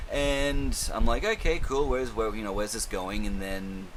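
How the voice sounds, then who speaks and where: A man talks at a very fast pace. Room echo is audible, and background noise is noticeable. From Australia. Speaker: film and TV reviewer. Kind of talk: casual monologue review. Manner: casual, rambling, swears a lot.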